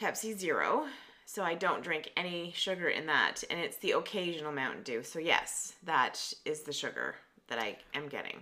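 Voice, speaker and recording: With a Canadian accent and a normal speaking voice, a woman talks at a moderate pace in a fairly low pitch, using lively intonation. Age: 50s. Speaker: podcast co-host. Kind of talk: casual chat.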